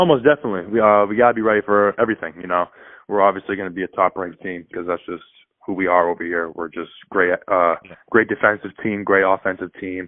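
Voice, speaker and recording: A man speaks at a very fast pace. His voice sits fairly low, with fairly even intonation. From Maine, South Portland. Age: young. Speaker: college basketball player. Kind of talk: interview.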